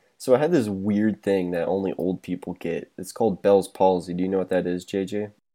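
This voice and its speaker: On a very clean recording with a silent background, a man with an American accent speaks at a fairly quick pace in a very deep, low pitch, with a dark, mellow tone and fairly even intonation. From Topeka, Kansas. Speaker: podcast co-host. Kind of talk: casual chat.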